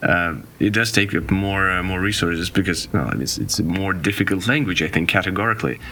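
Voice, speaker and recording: A man with a Russian accent and a very deep, low voice talks fairly quickly, with hardly any pauses and ordinary pitch variation. Noticeable background noise runs underneath. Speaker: podcast guest. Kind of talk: casual chat. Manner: halting.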